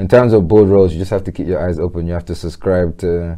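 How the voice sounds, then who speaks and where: With a London accent, a man speaks in a very deep, low voice of dark, mellow tone and monotone, flat intonation. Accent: London English, multicultural London. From south London (Peckham). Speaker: entrepreneur and charity board member. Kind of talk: casual interview.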